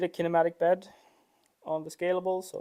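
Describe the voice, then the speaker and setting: A non-native accent at a moderate pace. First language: not English. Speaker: 3D printer builder livestreamer. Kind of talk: live workshop stream, casual chat. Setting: workshop. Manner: halting, with fillers.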